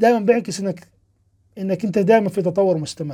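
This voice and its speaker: A man's high-pitched voice with a dark, mellow tone. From Palestine. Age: 30s. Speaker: programming instructor and podcast host. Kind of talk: live-stream Q&A talk. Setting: live stream. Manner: casual, animated.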